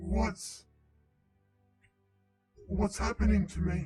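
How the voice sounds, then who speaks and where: Putting on a character voice, a man speaks in a very deep, low, raspy pitch with faint music in the background. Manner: frightened, confused.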